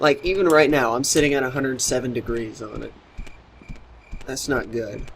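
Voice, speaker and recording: A man's medium-pitched voice at a moderate pace, with ordinary pitch variation, long, frequent pauses, big swings in loudness and audible room echo. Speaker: let's play gamer. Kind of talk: casual gameplay commentary.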